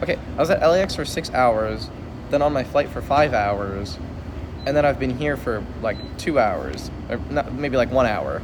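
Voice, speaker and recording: The speech moves at a fairly quick pace with noticeable background noise. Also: man. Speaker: streamer. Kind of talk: casual chat. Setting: airport.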